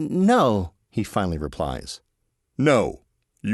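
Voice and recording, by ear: A quiet background and a natural voice reading aloud.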